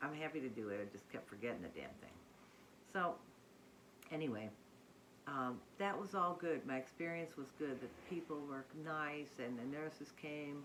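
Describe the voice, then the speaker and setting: A very deep, low-pitched woman's voice with lively intonation and long, frequent pauses. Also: moderate pace. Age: 60s. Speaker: weight-loss surgery vlogger. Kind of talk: casual talk to camera.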